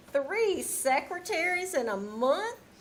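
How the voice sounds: A woman's put-on character voice, extremely high and slow, with big pitch swings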